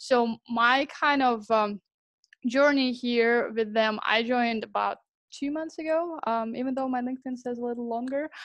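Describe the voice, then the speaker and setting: A woman with a Russian accent speaks at a moderate pace in a high pitch. Her intonation is fairly even, and the background is quiet. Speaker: sales professional at a software startup. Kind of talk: sales demo pitch practice. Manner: hesitant, many fillers.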